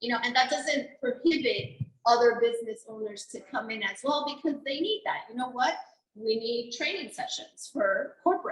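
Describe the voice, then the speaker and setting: A loud woman at high pitch, with lively intonation and a moderate pace. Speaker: venue owner, chamber member. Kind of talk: roundtable discussion.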